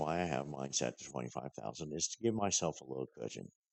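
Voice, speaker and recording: A man speaks at a fairly quick pace. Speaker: gaming YouTuber. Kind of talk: tutorial. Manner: halting, many fillers.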